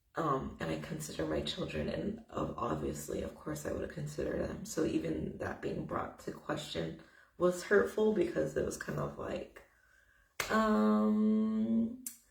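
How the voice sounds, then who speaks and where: A woman with an American accent at a fairly slow pace, with audible room echo. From United States. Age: 20s. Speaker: vlogger. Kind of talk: personal testimony vlog. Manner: casual, conversational with fillers.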